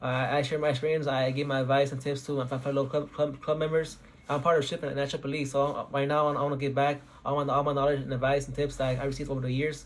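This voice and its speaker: This man's intonation is monotone and flat. He speaks at a very fast pace with a fairly high pitch. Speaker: engineering student. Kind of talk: advice talk. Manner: halting, many repeats.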